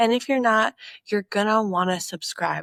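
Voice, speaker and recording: A woman with a normal speaking voice talks at a moderate pace with ordinary pitch variation. The sound is dry and close, with no echo. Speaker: podcast host. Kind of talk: casual aside to viewers.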